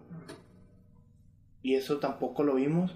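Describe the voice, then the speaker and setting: Speaking at a moderate pace with a Mexican accent, a man has a fairly high pitch and fairly even intonation. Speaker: music producer. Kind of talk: casual chat.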